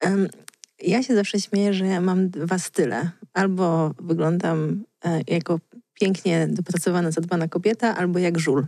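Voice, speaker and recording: A woman speaks in a fairly low pitch with a dark, mellow tone, ordinary pitch variation and very even loudness at a moderate pace. The sound is dry with no echo, over a quiet background. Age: 30s. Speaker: blogger and author; blogger. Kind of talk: casual chat. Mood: relaxed, smiling. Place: studio. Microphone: studio mic.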